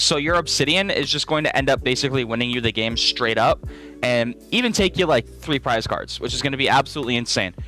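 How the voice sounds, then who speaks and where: A man's very fast, medium-pitched speech with ordinary pitch variation, music in the background. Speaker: Pokémon card game YouTuber. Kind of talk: deck tech commentary. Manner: casual, filler words.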